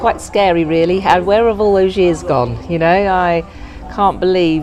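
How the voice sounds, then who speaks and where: A woman's medium-pitched voice with an English accent, moderate pace, fairly even intonation and very even loudness, with music in the background. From England. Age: 60s. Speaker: interviewee. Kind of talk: interview.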